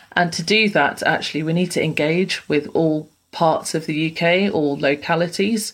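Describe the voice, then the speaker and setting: A woman talks at a moderate pace with hardly any pauses. She has a plain, everyday voice, a fairly low pitch and ordinary pitch variation. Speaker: regional growth head at space agency. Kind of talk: panel discussion, professional. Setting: remote call.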